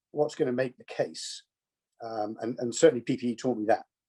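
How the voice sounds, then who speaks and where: Over a quiet background, a man with a southern English accent speaks in a dark, mellow tone with fairly even intonation. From southern England, Kent. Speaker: business executive, alumnus. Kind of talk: conversational interview. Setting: video call.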